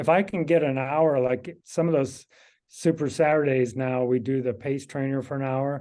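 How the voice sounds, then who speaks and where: At a moderate pace, a man with a Midwestern US accent speaks in a fairly high pitch with fairly even intonation. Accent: US Midwest. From Kansas. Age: 60s. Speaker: amateur cyclist. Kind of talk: casual interview.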